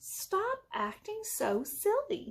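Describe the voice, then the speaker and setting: In a put-on character voice, a woman pushes her pitch extremely high. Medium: read story.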